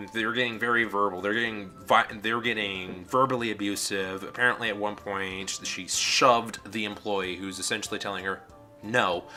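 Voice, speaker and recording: A man speaks at a moderate pace in a fairly low pitch with monotone, flat intonation. Music plays in the background. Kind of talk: casual talk to camera. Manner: rambling.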